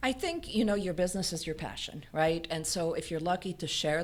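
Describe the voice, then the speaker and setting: A plain, everyday voice: a woman with fairly low pitch speaks at a moderate pace with ordinary pitch variation. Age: 60s. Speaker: business founder. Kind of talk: interview.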